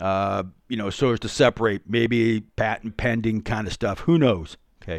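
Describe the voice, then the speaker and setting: An ordinary speaking voice from a man at medium pitch, delivered at a moderate pace. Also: ordinary pitch variation. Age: 60s. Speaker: podcast host, private security contractor. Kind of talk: solo podcast monologue. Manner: casual with frequent fillers.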